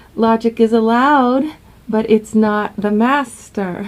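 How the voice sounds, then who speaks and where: A woman's fairly high voice, dark and mellow in tone, with fairly even intonation and a very slow pace. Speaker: relationship coach. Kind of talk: vlog advice talk.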